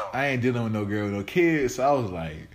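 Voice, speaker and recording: Amid noticeable background noise and audible room echo, a man talks at medium pitch and a fairly quick pace with ordinary pitch variation. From Arkansas, Forrest City. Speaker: podcast host. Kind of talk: casual chat.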